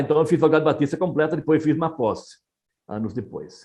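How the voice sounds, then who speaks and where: A man talks with a fairly high pitch. Behind him the background stays quiet. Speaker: missionary pastor. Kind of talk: interview conversation.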